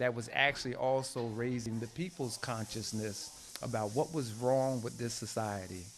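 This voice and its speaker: Fairly even intonation with music in the background. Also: man. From New Jersey, US. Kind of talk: interview. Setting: at his home.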